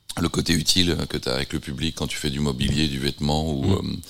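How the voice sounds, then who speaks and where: Very deep and low, a man's voice holds fairly even intonation. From France, Nantes. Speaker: visual artist. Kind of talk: interview. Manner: halting.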